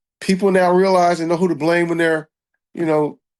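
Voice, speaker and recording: A man talks with a high pitch. He has an American accent. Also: quiet background. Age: 60s. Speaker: state senator. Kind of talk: interview.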